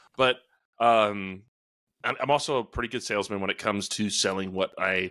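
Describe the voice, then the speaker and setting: A loud voice comes at a moderate pace with fairly even intonation and a bright, sharp tone. The recording is very clean, with a silent background. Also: man. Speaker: podcast co-host, exterior cleaning business owner. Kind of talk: casual chat. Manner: loud, boisterous.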